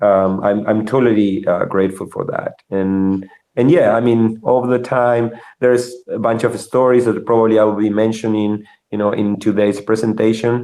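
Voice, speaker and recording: Speaking in a Spanish accent, a man with a medium pitch and a dark, mellow tone keeps a monotone, flat intonation at a moderate pace. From Argentina. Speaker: software engineer. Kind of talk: interview. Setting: live video show. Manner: halting, many fillers and repetitions.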